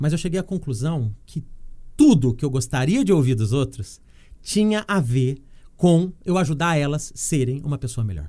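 Very clean recording of a man with a dark, mellow tone, the background silent. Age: 40s. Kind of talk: casual interview chat.

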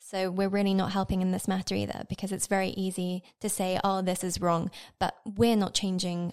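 A woman's medium-pitched voice in a British accent, flat and monotone, on a very clean recording with a silent background. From Britain. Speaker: podcast producer, intern. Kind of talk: casual panel discussion.

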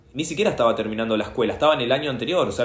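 With vocal fry and lively intonation, a man speaks amid audible room echo. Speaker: history teacher and punk guitarist. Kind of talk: casual interview conversation.

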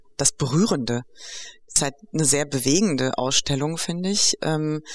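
Noticeable background noise sits behind a woman whose pitch is very deep and low. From Greek-German. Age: 50s. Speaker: educational program organizer. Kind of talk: interview conversation. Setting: on location at the project.

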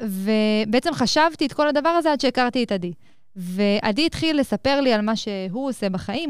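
A woman with an unremarkable speaking voice, fairly high in pitch, with lively intonation at a moderate pace on a very clean recording with a silent background. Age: 20s. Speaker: entrepreneur and company CEO. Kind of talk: interview. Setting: studio at a college.

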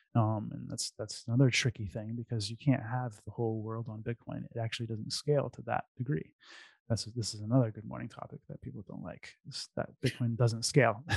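A man's somewhat breathy, medium-pitched voice at a fairly quick pace, fairly even in intonation but with big swings in loudness, in a dry, close sound with no echo. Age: 40s. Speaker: bitcoin entrepreneur. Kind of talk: casual chat.

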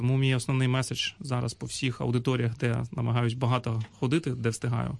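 Speaking at a fairly quick pace, a man keeps a medium pitch with a monotone, flat intonation. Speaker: government agency head. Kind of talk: radio interview.

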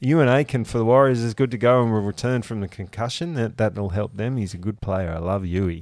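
A man talks at a fairly quick pace with hardly any pauses. His pitch varies ordinarily over a quiet background. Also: medium pitch for a man. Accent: Australian. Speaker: rugby league podcast co-host. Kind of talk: casual chat.

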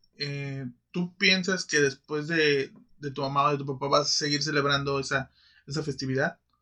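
The speaker has a Mexican accent and a bright, sharp tone, delivered in a monotone, flat intonation. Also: man, fairly high pitch for a man, moderate pace. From Mexico. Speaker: podcast co-host. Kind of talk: casual chat.

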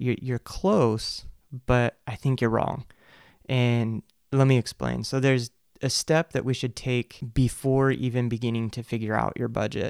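A man with a plain, everyday voice talks at a fairly slow pace and medium pitch, his intonation fairly even, in a dry, close sound with no echo on a very clean recording with a silent background. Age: 30s. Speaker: podcast host. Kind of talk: solo monologue on personal finance. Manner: casual, with fillers and restarts.

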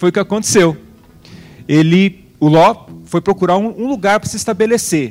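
The pitch of this man's voice is high and his intonation lively. He keeps a moderate pace. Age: 40s. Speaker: preacher and founder of a religious community. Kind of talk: sermon. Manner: animated.

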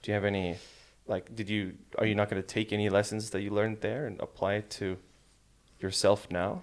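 In a very clean recording with a silent background, a man with an American accent talks at a fairly quick pace in a fairly low, monotone, flat voice, leaving long, frequent pauses. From Malaysia and Sweden, American school. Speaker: podcast co-host. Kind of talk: casual chat.

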